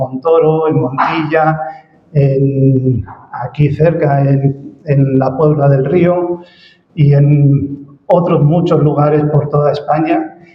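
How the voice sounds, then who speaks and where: A man speaks at a very slow pace in a fairly high pitch. His intonation stays flat and monotone, with audible room echo. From Spain. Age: 60s. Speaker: ministry director, guest speaker. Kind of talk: church presentation. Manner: hesitant, many fillers.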